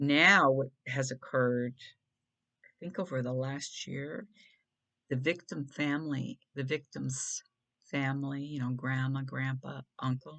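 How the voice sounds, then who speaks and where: Soft-spoken and very deep in pitch, a woman talks at a fairly slow pace. Her intonation stays fairly even, with long, frequent pauses. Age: 60s. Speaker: video blogger. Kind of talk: casual monologue. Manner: halting.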